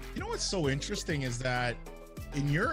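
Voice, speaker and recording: Music plays behind a man speaking. His pitch is fairly high. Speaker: podcast host. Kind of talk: casual interview talk.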